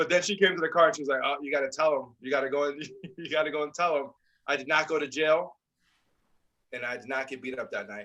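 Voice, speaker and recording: Loud and very fast, a man with a fairly high pitch and ordinary pitch variation speaks in a bright, sharp tone, broken by long, frequent pauses. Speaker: podcast co-host. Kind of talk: casual chat. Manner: animated.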